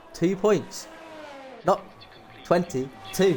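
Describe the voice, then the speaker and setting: Lively male intonation with music in the background. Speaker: esports race commentator. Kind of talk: live commentary.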